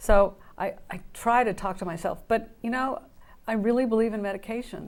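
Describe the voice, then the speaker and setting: On a very clean recording with a silent background, a woman speaks at a moderate pace in a fairly high voice with ordinary pitch variation. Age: 60s. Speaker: guest sharing mental illness recovery. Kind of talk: interview testimony. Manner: halting.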